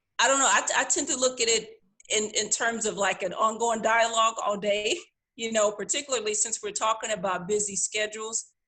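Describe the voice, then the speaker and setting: With an American accent, a woman speaks fairly quickly at a fairly high pitch, her tone bright and sharp and her pitch variation ordinary. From US, Missouri. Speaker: religious panel member. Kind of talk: casual religious discussion. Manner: hesitant, many fillers.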